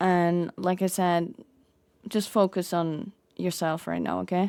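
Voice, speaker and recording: Soft-spoken and flat in intonation, a woman delivers her words in a monotone with a dark, mellow tone and a fairly low pitch. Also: fairly slow pace, very clean recording, silent background. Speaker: roleplay streamer. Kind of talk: in-character roleplay chat.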